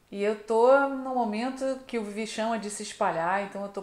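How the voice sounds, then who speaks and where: Audible room echo surrounds a woman's voice. She speaks at a fairly slow pace with fairly even intonation. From Brazil, Niterói (Rio de Janeiro); Brazil. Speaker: travel vlogger. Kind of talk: casual vlog chat. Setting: outdoors. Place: home room. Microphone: camera far.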